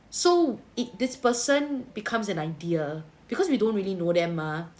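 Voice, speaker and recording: In a Singaporean accent, a woman talks at a moderate pace with a fairly high pitch. Her pitch swings very widely. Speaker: tarot reader. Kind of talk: livestream tarot reading. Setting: livestream. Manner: casual, Singlish particles.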